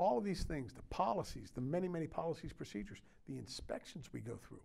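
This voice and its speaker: A man with an American accent talks at a fairly quick pace in a fairly high pitch, his dark, mellow tone carried by lively intonation. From US Mid-Atlantic (Maryland). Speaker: county sheriff. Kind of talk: interview conversation. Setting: studio. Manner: halting, many fillers. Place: studio.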